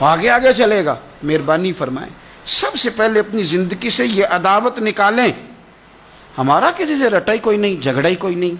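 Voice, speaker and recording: Lively intonation marks this man's high-pitched voice. Noticeable background noise sits underneath. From Pakistan. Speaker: Islamic preacher. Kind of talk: religious sermon. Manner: emotional, impassioned.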